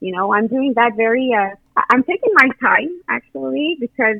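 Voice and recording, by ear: A woman speaks at a moderate pace with vocal fry, recorded in a dry, close sound with no echo.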